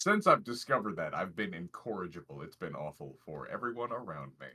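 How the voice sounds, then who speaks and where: A man's very deep, low voice with vocal fry, a bright, sharp tone, lively intonation and a fairly quick pace. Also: big swings in loudness. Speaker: vtuber gamer. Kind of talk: casual chat.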